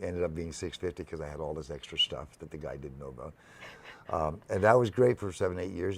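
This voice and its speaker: Very deep and low, a man's voice with vocal fry and a Canadian accent races along at a very fast pace, with ordinary pitch variation and big swings in loudness. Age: 70s. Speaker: music venue founder. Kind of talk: interview conversation. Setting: live broadcast on location. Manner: halting.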